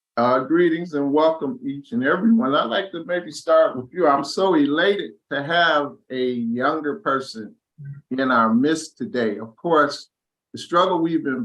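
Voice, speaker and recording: A man with an unremarkable speaking voice, lively intonation and a fairly slow pace. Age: 60s. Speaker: discussion host. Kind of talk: panel discussion.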